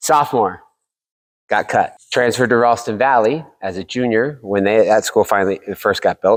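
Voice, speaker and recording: In a very clean recording with a silent background and a dry, close sound with no echo, a man with an American accent and a plain, everyday voice speaks at a moderate pace and medium pitch, with ordinary pitch variation. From Oklahoma and Texas, then Colorado from eighth grade. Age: 40s. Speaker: podcast host and realtor being interviewed. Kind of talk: casual interview.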